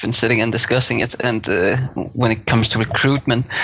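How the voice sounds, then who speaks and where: A man with a Danish accent talks at a fairly quick pace. Noticeable background noise is present. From Denmark. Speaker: guest, game guild raider. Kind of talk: casual podcast discussion.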